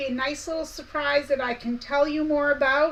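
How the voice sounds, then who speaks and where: A woman projects a raised, high-pitched voice. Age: 50s. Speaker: quilting/sewing YouTuber. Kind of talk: live stream chat. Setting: live stream. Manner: casual, chatty.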